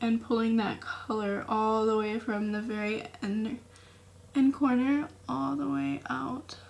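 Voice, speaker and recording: Amid noticeable background noise, a woman speaks at a very slow pace in a fairly high pitch with very wide pitch swings. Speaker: beauty content creator. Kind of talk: tutorial. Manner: casual.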